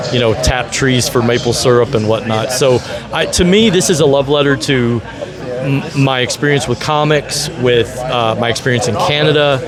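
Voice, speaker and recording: Medium-pitched man with an American accent at a moderate pace, hardly any pauses, ordinary pitch variation, music in the background and audible room echo. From US South, Nashville, Tennessee. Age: 50s. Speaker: convention organizer and comic book creator. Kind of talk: interview. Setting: comic convention at a museum. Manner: halting, many repeated words and fillers.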